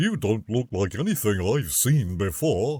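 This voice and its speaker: A man puts on a loud, booming character voice at a medium pitch. He keeps a moderate pace. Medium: read story. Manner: friendly, enthusiastic.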